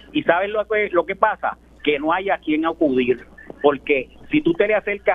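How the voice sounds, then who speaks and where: A man speaks with lively, bouncing intonation. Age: 70s. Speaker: caller. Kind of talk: call-in opinion. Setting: phone call.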